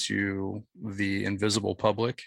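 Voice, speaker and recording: A man's bright, sharp-toned voice on a very clean recording with a silent background. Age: 30s. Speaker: podcast host, guest on another show. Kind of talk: casual interview chat.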